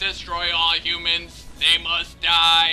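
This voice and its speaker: Over clear background noise, a man does a robotic, put-on character voice at a high pitch and a very slow pace. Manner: menacing.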